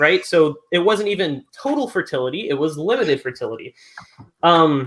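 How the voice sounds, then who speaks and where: A man's high voice with very wide pitch swings. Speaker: evolutionist debater. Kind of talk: formal debate. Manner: fast.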